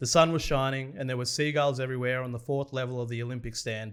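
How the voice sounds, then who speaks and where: A man talks at a very fast pace with an Australian accent. His intonation stays fairly even. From Australia, Victoria (Morwell). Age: 30s. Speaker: sports podcast host. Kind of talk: reading aloud.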